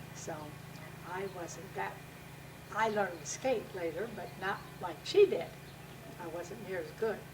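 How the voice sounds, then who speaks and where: A woman speaks at a fairly slow pace and medium pitch, with ordinary pitch variation, big swings in loudness and long, frequent pauses. Audible room echo and noticeable background noise fill the recording. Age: 70s. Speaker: interviewee. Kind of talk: family oral-history interview.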